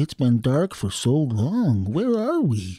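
Using a put-on character voice, a man speaks at a fairly slow pace with a medium pitch that swings very widely. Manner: bewildered.

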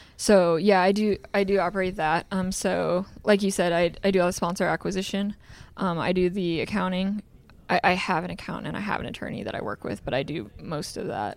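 A woman with an American accent, fairly quick pace, fairly even intonation and vocal fry, on a very clean recording with a silent background. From Iowa. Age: 20s. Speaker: sprint car driver. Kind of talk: interview. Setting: museum.

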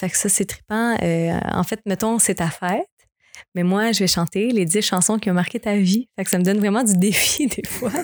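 A woman with an unremarkable speaking voice at a fairly slow pace, on a very clean recording with a silent background. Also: dry, close sound with no echo. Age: 20s. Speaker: singer. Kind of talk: casual chat.

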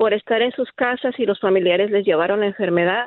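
Fairly even in intonation, a woman speaks in a plain, everyday voice with a fairly high pitch. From Mexico. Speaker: nurse. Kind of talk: radio call-in testimony.

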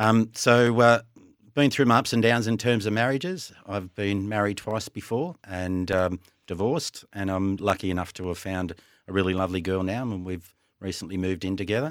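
With an Australian accent, a man talks at a fairly quick pace in a fairly low pitch with ordinary pitch variation, on a very clean recording with a silent background. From western Sydney, Australia. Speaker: podcast co-host. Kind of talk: casual chat.

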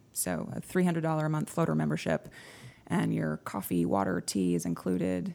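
A woman with an American accent speaks at a moderate pace, her loudness very even throughout. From Texas. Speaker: coworking space operations executive. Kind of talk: interview. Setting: studio.

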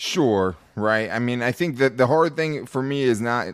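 A man's normal speaking voice at medium pitch, with ordinary pitch variation, on a very clean recording with a silent background. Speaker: sports podcast host. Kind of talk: casual sports talk.

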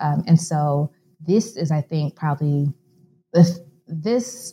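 In a dry, close recording with no echo, a woman with an American accent speaks very slowly in a very deep, low, somewhat breathy voice with a dark, mellow tone and ordinary pitch variation. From US Midwest, Chicago. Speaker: author and scholar. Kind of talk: interview.

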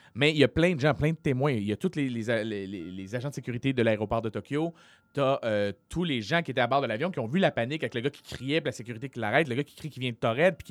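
A man at medium pitch speaks very fast with big swings in loudness, in a very clean, dry, close recording with no echo and a silent background. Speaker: comedian and podcast host. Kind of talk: casual chat; storytelling.

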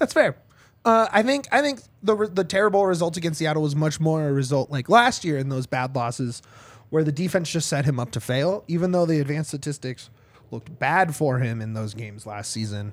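A man's fairly high, animated voice at a fairly quick pace, with lively intonation, in a very clean recording with a silent background. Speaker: soccer podcast host. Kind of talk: casual chat. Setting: studio.

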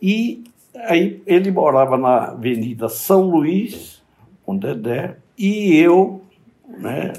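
A man's voice swings very widely in pitch. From Bahia, Brazil. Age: 80s+. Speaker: psychiatrist. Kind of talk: interview.

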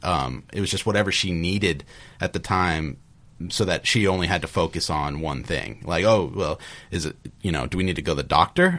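A man's very deep, low voice with vocal fry and lively intonation. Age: 30s. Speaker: computer programmer and father. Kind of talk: panel discussion. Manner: halting.

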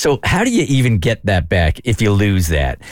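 A man's voice with very wide pitch swings. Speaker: radio host. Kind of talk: casual chat.

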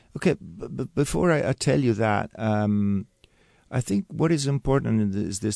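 With an Italian accent, a man with a fairly low pitch and a dark, mellow tone speaks at a moderate pace with ordinary pitch variation, his voice dry and close with no echo against a quiet background. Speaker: winemaker, winery family member. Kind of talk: interview. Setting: radio studio. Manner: halting, repeats words.

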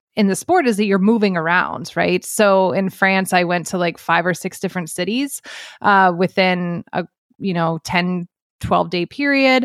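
At a moderate pace and medium pitch, a woman speaks in a normal speaking voice on a very clean recording with a silent background. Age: 40s. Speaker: sports journalist. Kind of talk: casual chat.

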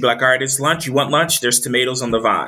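This man speaks with an American accent at a medium pitch. His tone is bright and sharp. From US, military family (Texas, Maryland, Virginia, Delaware). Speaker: agriculture leader and doctoral student. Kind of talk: interview. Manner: animated.

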